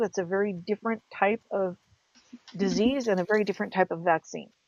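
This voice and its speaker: The pitch varies in an ordinary way. A woman speaks at a moderate pace. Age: 50s. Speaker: podcast co-host. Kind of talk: casual chat.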